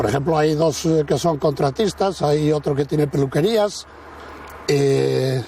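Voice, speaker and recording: There is noticeable background noise as a man speaks at a fairly slow pace and fairly high pitch. His pitch varies in an ordinary way, and his loudness stays very even. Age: 70s. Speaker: village restaurant owner. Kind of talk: casual interview chat.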